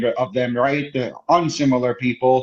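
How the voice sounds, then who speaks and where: Spoken at a fairly slow pace, this voice carries an American accent and fairly even intonation. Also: man. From United States. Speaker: podcast guest. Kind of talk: casual chat. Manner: halting.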